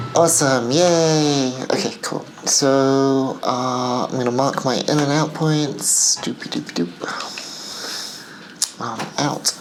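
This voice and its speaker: At a very slow pace and with fairly even intonation, a woman speaks in a very deep, low voice, amid audible room echo and noticeable background noise. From England and the Middle East. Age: 50s. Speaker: film director and vlogger. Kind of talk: casual vlog.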